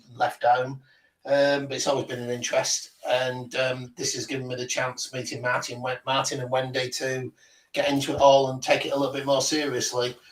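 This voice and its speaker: At a medium pitch and moderate pace, a man talks in a monotone, flat intonation. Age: 50s. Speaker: paranormal investigator. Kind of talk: casual chat.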